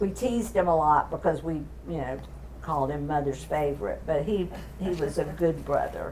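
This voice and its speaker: A woman in a Southern US accent at a moderate pace, with audible room echo. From Florida, US South. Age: 80s+. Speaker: family elder sharing memories. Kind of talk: casual family chat.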